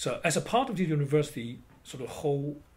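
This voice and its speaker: A man with a Chinese accent speaks at a fairly slow pace in a somewhat breathy voice, his pitch varying in an ordinary way, with audible room echo. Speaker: traditional Chinese medicine practitioner and educator. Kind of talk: interview. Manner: halting.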